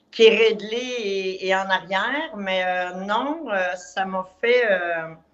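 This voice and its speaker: With a Quebec accent, a woman speaks at a very slow pace and a medium pitch, with ordinary pitch variation, hardly any pauses and audible room echo. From Quebec, Montreal. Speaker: client giving a testimonial. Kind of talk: testimony. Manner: halting.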